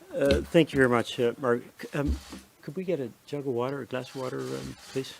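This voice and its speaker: A man talks fairly quickly, with noticeable background noise behind him. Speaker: public health expert. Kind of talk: press briefing. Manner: hesitant, many fillers.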